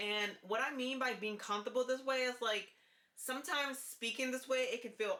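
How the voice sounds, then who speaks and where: With a high pitch and ordinary pitch variation, a woman talks. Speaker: vlogger and hair instructor. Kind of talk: casual vlog about voice training. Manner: lowered volume, raised pitch; deliberate, pausing before words.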